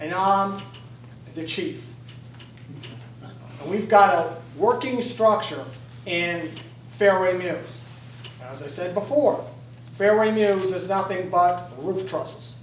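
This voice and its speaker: A man with a high pitch talks very slowly and with lively intonation, his loudness swinging widely, with long, frequent pauses, audible room echo and noticeable background noise. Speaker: fire chief speaking at public comment. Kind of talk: public comment at council meeting. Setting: council meeting. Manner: animated, insistent.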